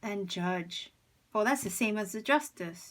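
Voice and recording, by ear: A woman speaks slowly at a medium pitch, her fairly bright tone carrying ordinary pitch variation.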